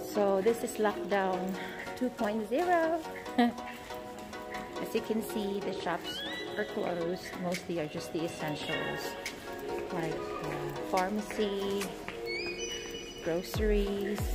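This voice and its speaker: Over loud background music, the speech moves at a very slow pace with long, frequent pauses. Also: woman. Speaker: mother vlogger. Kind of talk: casual vlog chat. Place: shop. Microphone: phone near.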